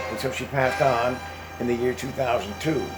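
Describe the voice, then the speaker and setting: Amid noticeable background noise and audible room echo, a man speaks at a medium pitch with an American accent. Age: 80s+. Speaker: retired veteran vlogger. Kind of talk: casual monologue. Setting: home, with exercise machine. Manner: halting, repetitive.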